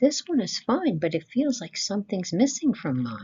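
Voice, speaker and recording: A put-on character voice with a fairly high pitch swings very widely in pitch. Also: moderate pace. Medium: read story.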